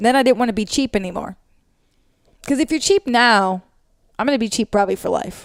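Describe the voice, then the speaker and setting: Loud and high-pitched, a woman talks at a very fast pace with lively intonation and long, frequent pauses, recorded very cleanly with a silent background and a dry, close sound with no echo. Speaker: podcast co-host. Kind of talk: casual chat.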